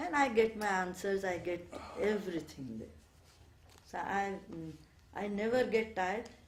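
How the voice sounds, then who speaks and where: A woman talks with ordinary pitch variation while audible room echo fills the space. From India, Bengal. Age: 70s. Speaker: ashram resident. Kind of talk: interview, reminiscence. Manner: hesitant, many fillers.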